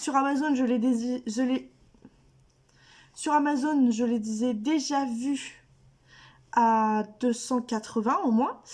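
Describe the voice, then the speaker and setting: At a very slow pace with long, frequent pauses, a woman speaks in a high pitch with fairly even intonation and very even loudness. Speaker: YouTuber, adult coloring hobbyist. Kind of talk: casual haul video to camera.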